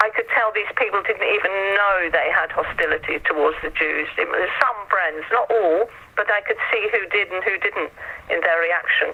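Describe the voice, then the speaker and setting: Noticeable background noise runs under a woman speaking in an English accent. Her loudness stays very even. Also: moderate pace. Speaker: artist. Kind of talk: interview. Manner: halting.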